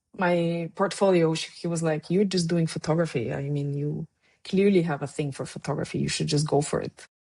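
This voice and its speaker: In a Bulgarian accent, a woman speaks at a fairly quick pace with a dark, mellow tone, fairly low pitch and fairly even intonation. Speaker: documentary photographer. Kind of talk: interview conversation. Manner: halting, with many fillers.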